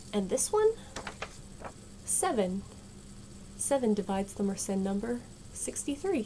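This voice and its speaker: Soft-spoken and relaxed in tone, a woman talks at a fairly slow pace with lively intonation and long, frequent pauses, while noticeable background noise runs behind her. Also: medium pitch for a woman. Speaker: math video creator. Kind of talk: casual math tutorial. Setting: home at night. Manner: quiet, soft-spoken.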